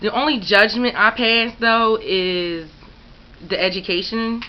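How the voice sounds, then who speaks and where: This woman has an American accent and ordinary pitch variation. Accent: Philadelphia accent, noticed by others. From Philadelphia, US. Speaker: YouTuber. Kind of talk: casual questionnaire answers to camera. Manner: casual, filler-heavy.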